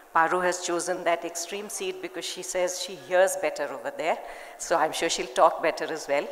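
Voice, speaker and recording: A woman with a fairly low pitch speaks at a moderate pace amid noticeable background noise and audible room echo. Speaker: panel moderator and children's publisher. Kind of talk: panel discussion. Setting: stage with audience.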